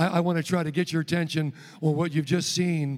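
A man is speaking here. His voice is loud and fairly high in pitch. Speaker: traveling evangelist and rehab ministry coordinator. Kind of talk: sermon. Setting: church stage with congregation. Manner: animated.

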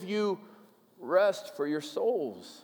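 A man speaks with an American accent. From US upper Midwest, Minnesota. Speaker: pastor. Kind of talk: sermon. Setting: church.

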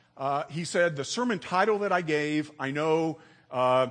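Over a quiet background, a man with an unremarkable speaking voice and a fairly high pitch talks at a moderate pace with lively intonation. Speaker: church member. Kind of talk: sermon. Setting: church.

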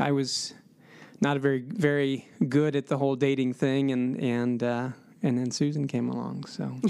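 At a moderate pace, a man with an American accent speaks at medium pitch with fairly even intonation. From Columbus, Ohio. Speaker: father and podcast guest. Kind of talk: personal testimony interview.

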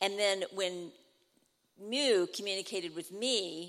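A woman with an ordinary speaking voice at a medium pitch. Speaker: church mission trip member. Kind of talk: church testimony. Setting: church.

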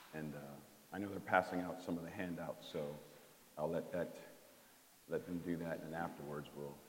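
With audible room echo, a man with a very deep, low pitch talks at a moderate pace in a monotone, flat intonation, leaving long, frequent pauses. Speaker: trainer. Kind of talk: workshop presentation. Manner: halting.

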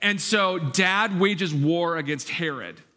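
A man talks with a fairly high pitch and lively intonation. Audible room echo surrounds his voice. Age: 40s. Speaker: pastor. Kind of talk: sermon.

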